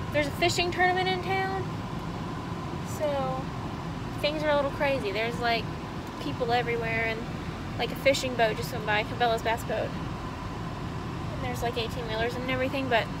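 A woman talks at a moderate pace, leaving long, frequent pauses. The sound is dry with no echo, but background noise is loud. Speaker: vlogger. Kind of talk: casual vlog chat. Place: car. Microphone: phone near.

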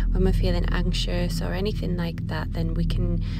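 Over clear music in the background, a woman speaks at a moderate pace, the sound dry with no echo. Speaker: yoga teacher. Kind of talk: guided yoga instruction. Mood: calm, soothing. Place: garden.

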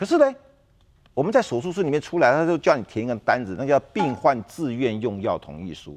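A man talks at a fairly quick pace with vocal fry and very wide pitch swings. His loudness swings a lot. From Taiwan. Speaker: insurance expert; talk show guest. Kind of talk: TV talk show interview. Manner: many filler particles, hesitant. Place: studio. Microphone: lapel.

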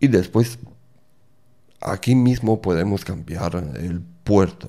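Against a quiet background, a man with a non-native accent speaks very slowly at a fairly low pitch, his dark, mellow tone shaped by lively intonation. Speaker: tech tutorial creator; developer tutor. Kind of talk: tutorial. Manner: halting. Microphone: studio mic.

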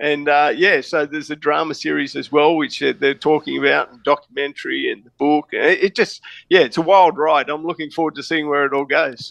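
A man with an Australian accent talks at a fairly quick pace with hardly any pauses and big swings in loudness, in a dry, close recording with no echo against a quiet background. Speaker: private investigator and author. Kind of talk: interview.

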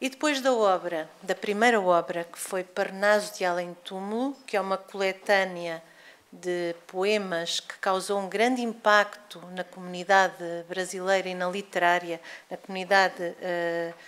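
Fairly slow and with fairly even intonation, a woman delivers her words. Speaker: lecturer. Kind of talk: lecture. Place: hall. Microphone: podium.

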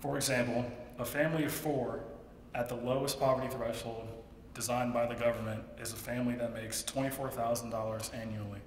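Audible room echo and light background noise surround a man speaking at a fairly quick pace with fairly even intonation. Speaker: student contestant. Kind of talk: persuasive speech. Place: hall. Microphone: podium.

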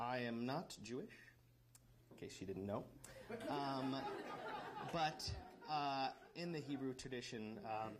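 Speech comes at a fairly slow pace with long, frequent pauses and ordinary pitch variation. Crowd noise fills the background. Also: man. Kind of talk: wedding vows speech. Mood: warm, lightly joking, nervous. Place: hall. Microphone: handheld.

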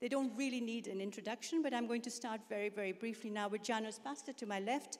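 Her intonation fairly even, a woman talks at a very fast pace. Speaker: panel moderator. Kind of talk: moderating a conference panel, reading points. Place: hall. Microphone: handheld.

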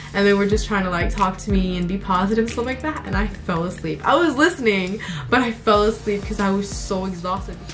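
A woman talking at a fairly quick pace over clear background music. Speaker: vlogger. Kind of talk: casual vlog chat. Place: home room.

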